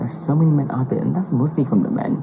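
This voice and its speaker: Noticeable background noise beneath speech with lively intonation. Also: woman. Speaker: podcast interviewee. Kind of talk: casual chat.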